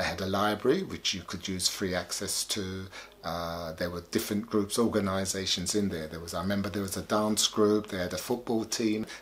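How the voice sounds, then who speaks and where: Fairly even in intonation, this man speaks at a fairly low pitch. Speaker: sound system founder; interviewee. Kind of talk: documentary interview. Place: home room.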